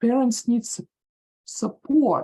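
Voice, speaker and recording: A woman speaks in a Russian accent at a moderate pace. Her fairly high voice has a dark, mellow tone. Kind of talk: audience question. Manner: halting.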